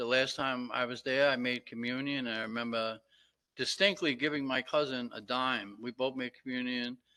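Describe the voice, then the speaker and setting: With an American accent, a man speaks at a moderate pace in a medium pitch, his bright, sharp tone carrying fairly even intonation over a quiet background. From Brooklyn, New York (Red Hook). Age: 70s. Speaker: relative of a fallen soldier. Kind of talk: public comment at meeting. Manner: halting, many fillers.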